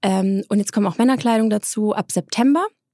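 A normal speaking voice from a woman, medium in pitch at a moderate pace, dry and close with no echo in a very clean recording over a silent background. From Swabia, southern Germany (Eislingen near Stuttgart). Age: 30s. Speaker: entrepreneur and influencer. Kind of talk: interview.

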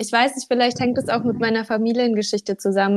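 A woman talks with an unremarkable speaking voice. Her pitch sits fairly high and her intonation stays fairly even. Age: 20s. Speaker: social media coach. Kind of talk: casual interview chat.

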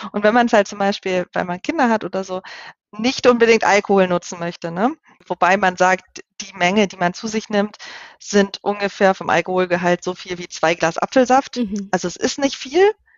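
A woman's normal speaking voice at medium pitch and moderate pace, with ordinary pitch variation and big swings in loudness. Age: 30s. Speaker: wild plant educator and software tester. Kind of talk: casual interview.

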